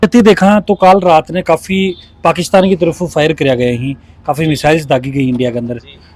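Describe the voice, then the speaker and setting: A man with an ordinary speaking voice and fairly high pitch talks at a moderate pace with lively intonation. The sound is dry and close, with no echo. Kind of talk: interview question.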